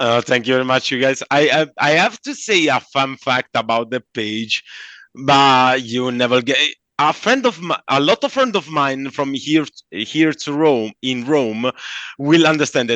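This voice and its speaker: With a Southern Italian accent, the speaker goes at a fairly slow pace with ordinary pitch variation, in a dry, close sound with no echo and a quiet background. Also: man, medium pitch for a man. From southern Italy. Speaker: comic book artist. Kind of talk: interview. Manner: halting; animated.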